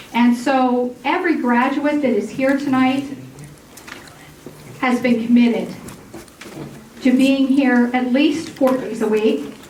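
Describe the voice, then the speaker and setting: Loud and high-pitched, a woman speaks at a very slow pace with fairly even intonation and long, frequent pauses, amid noticeable background noise and audible room echo. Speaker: massage therapy program coordinator. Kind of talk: graduation ceremony speech. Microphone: microphone cutting out.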